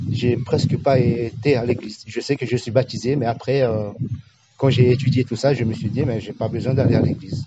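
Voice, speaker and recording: At a moderate pace, a man speaks with medium pitch. His intonation is monotone and flat. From French Guiana, Amerindian village of Awala-Yalimapo. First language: Amerindian language (speaking French). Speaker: village tour guide. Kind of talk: interview. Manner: halting, searching for words.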